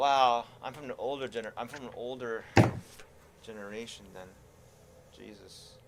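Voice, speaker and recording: With a medium pitch and fairly even intonation, a man speaks at a moderate pace with long, frequent pauses and big swings in loudness over noticeable background noise. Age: 40s. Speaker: gaming streamer. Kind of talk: casual chat.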